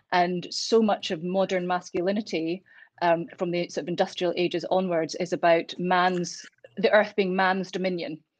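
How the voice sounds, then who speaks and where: With a Glasgow accent, a woman speaks at a moderate pace and medium pitch, her intonation fairly even. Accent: Scottish, Glasgow. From Scotland, Glasgow. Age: 40s. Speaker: intensive care doctor. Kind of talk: casual chat. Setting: at home.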